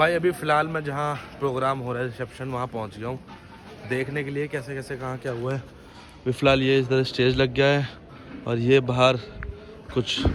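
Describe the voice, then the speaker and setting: Over music in the background, a man talks at medium pitch in a monotone with flat intonation. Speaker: vlogger. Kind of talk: casual vlog narration.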